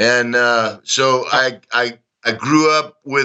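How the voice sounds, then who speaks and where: A man with a Texan accent talks in a monotone with flat intonation. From Texas, Dallas. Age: 60s. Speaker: former soldier. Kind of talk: interview. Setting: remote call. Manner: high energy.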